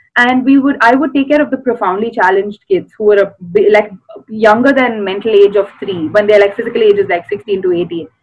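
The speaker has an Indian accent and a fairly quick pace. Pitch varies in an ordinary way. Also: woman, fairly high pitch for a woman. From South India. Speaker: actress and special educator. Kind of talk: casual interview chat. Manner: animated, laughs often.

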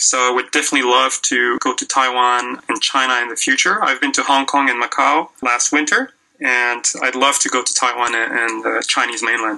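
Moderate pace with hardly any pauses, very even loudness and fairly even intonation over noticeable background noise. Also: man, medium pitch for a man. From Quebec. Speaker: language blogger and English teacher. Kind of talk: interview.

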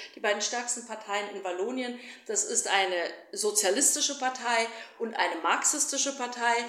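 The voice has ordinary pitch variation, with noticeable background noise and audible room echo. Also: woman, fairly high pitch for a woman, moderate pace. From Germany, raised bilingual German-Flemish. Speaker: politician and activist. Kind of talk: interview.

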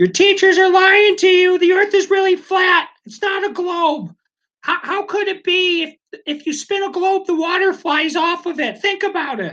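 Shouting in a put-on character voice at an extremely high pitch, the speaker keeps a moderate pace. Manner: screaming.

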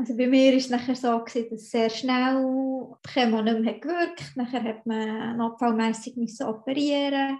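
A woman with a high voice speaks at a fairly slow pace. Her intonation is fairly even, and the background is quiet. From Switzerland, Bern. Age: 30s. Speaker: cancer patient, software engineer and dance teacher. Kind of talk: personal interview testimony.

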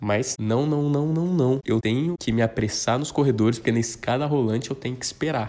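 A man speaks at a moderate pace in a dark, mellow tone. His pitch varies in an ordinary way. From southern Minas Gerais, Brazil. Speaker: podcaster. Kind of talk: casual solo monologue.

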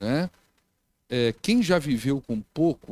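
A man speaks in a fairly high pitch with lively intonation. The sound is dry and close with no echo, on a very clean recording with a silent background. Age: 50s. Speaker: pastor. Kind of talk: sermon.

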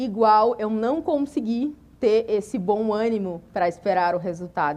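Very slow, lively speech from a woman with a fairly high pitch. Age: 30s. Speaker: preacher. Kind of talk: sermon.

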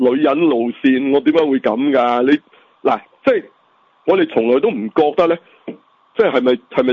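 Here a man speaks at a medium pitch. His pitch swings very widely. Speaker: podcast co-host. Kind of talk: casual chat. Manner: animated.

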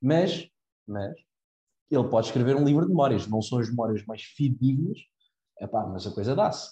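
At a moderate pace broken by long, frequent pauses, a man speaks at medium pitch with lively intonation, his somewhat breathy voice dark and mellow in tone. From Portugal, Cascais. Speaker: university student. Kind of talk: casual chat.

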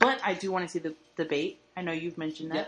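Noticeable background noise accompanies a woman talking very fast, her pitch varying in an ordinary way. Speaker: podcast host. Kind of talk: casual chat.

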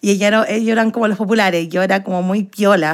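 Fairly even intonation and a moderate pace in a normal speaking voice. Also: woman. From Chile, Santiago. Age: 20s. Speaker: actress and dancer. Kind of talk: interview.

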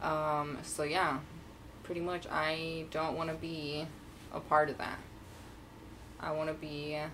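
Very slow and broken by long, frequent pauses, a woman speaks in a very deep, low voice. Her intonation stays monotone and flat. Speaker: podcast co-host. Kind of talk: casual chat.

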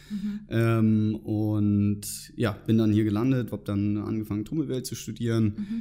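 A man talking at a fairly slow pace with hardly any pauses. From northern Germany, near Hamburg. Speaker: former student club member, finance professional. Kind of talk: interview. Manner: hesitant with many fillers.

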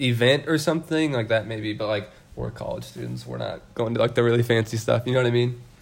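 A man talks at a very fast pace with an American accent. Noticeable background noise runs underneath. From US Midwest, outside Kansas City. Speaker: college student traveler. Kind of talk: casual chat.

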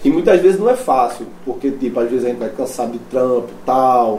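Noticeable background noise sits behind a man's voice. He moves at a fairly quick pace with very wide pitch swings. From Brazil, Recife. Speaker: metal band vocalist. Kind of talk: casual chat. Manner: casual slangy.

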